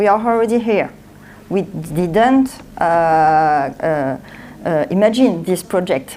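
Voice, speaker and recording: Speaking very slowly in a French accent, a woman uses a fairly low pitch, very even loudness and lively intonation. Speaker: author and speaker. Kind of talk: conference talk. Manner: halting.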